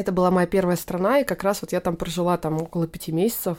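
A dark, mellow tone comes through at a fairly quick pace with fairly even intonation on a very clean recording with a silent background. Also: woman. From Tatarstan, Naberezhnye Chelny (Russia). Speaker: photographer. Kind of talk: casual chat.

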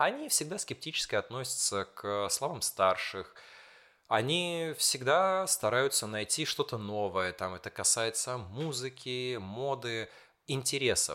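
A man talks at a fairly slow pace in a very clean recording against a silent background. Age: 20s. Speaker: school teacher. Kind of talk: casual chat.

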